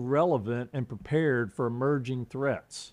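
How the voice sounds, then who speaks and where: In a Southern US accent, a man talks at a moderate pace with a fairly high pitch. His tone is dark and mellow. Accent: Southern US, persisted. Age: 50s. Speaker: political candidate, retired Marine. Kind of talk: interview, campaign talk.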